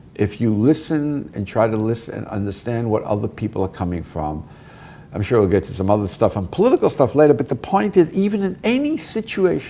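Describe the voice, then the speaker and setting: With a Brooklyn accent, a man talks at a fairly quick pace in a medium pitch, his voice making very wide pitch swings. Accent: New York (Brooklyn). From US Northeast (Brooklyn, New York). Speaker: professor and author. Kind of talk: interview. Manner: fast.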